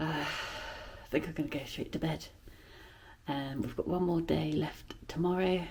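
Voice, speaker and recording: A very slow, dark, mellow voice with vocal fry. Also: woman. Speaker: travel vlogger. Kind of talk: vlog narration. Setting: hotel room. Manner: soft-spoken.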